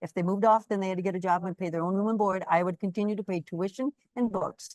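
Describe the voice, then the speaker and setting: A woman's very fast, fairly even delivery at medium pitch, with an American accent. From US Midwest, Wisconsin. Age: 70s. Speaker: quilter and small business owner. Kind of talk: interview. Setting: live webinar.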